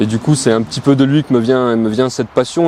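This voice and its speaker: Here a man speaks with ordinary pitch variation. There is noticeable background noise. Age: 30s. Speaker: amateur muscle car driver, competition contestant. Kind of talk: casual interview. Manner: halting, many hesitations.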